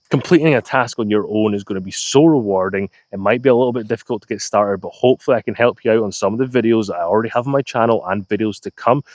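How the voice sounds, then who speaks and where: A man speaks with a Scottish accent at a very fast pace. The sound is dry and close, with no echo. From Scotland. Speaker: DIY YouTuber. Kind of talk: channel trailer to camera.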